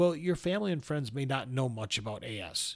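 In a very clean recording with a silent background, a man with an American accent, a medium pitch, and ordinary pitch variation speaks at a moderate pace in an unremarkable speaking voice. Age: 50s. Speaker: podcast host living with spondyloarthritis. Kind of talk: solo podcast monologue.

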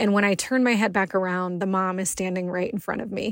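On a very clean recording with a silent background, a woman speaks in a medium pitch with a monotone, flat intonation. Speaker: cancer survivor telling a personal story. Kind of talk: personal testimony.

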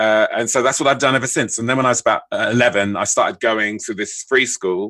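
With a London accent, a man speaks in a bright, sharp tone. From southeast London (Bermondsey). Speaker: screenwriter. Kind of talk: interview.

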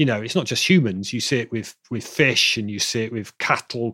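Recorded dry and close with no echo, a man with an English accent speaks fairly quickly with ordinary pitch variation. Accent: British, English. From Bristol, south-west England. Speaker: acoustics professor and author. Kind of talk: casual interview. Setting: video call.

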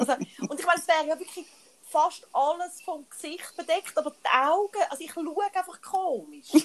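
A woman speaks at an extremely high pitch and a moderate pace. Her loudness swings widely. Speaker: podcast co-host. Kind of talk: casual chat.

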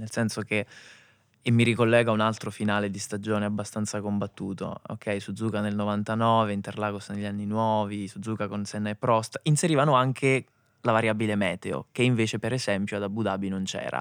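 In a normal speaking voice, a man talks at a fairly quick pace and fairly low pitch with fairly even intonation. The recording is very clean and the background silent. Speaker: motorsport journalist and podcast host. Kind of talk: casual chat about Formula 1.

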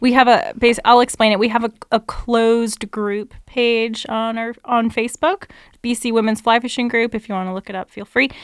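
A woman's fairly high voice with a western Canadian accent, fairly even intonation and hardly any pauses, in a very clean, dry, close recording with no echo and a silent background. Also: moderate pace, big swings in loudness. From Canada, BC lower mainland (North Delta). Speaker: fly shop employee and fishing guide. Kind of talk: casual chat.

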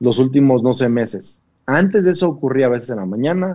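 Speaking at a moderate pace, a man uses lively intonation with a medium pitch and a dark, mellow tone. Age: 40s. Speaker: pastor. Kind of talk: casual chat.

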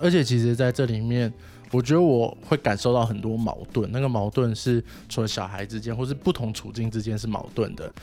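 A man talks at a fairly quick pace, medium in pitch with ordinary pitch variation. Music plays in the background. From Taiwan, Wanhua district of Taipei. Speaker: social worker. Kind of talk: casual interview chat.

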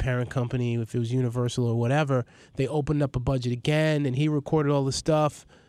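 With a New York accent, a man talks at a fairly quick pace and fairly even intonation against a quiet background. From New York City (Queens, Astoria). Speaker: filmmaker and hip-hop journalist. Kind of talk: casual interview chat.

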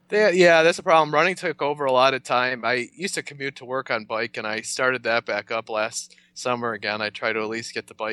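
A man with an American accent, bright and sharp in tone, at a fairly quick pace, with a dry, close sound with no echo and a quiet background. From western New York (north of Buffalo). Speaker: amateur runner. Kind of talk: casual interview. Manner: laid-back.

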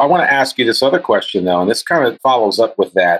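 The sound is dry and close with no echo as a man speaks with an American accent. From US. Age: 50s. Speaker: guest interviewer, podcast host. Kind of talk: interview.

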